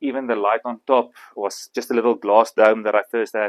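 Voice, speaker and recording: With an Afrikaans South African accent, a man speaks at medium pitch in a monotone with flat intonation. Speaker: bonsai artist. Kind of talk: demonstration talk. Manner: halting.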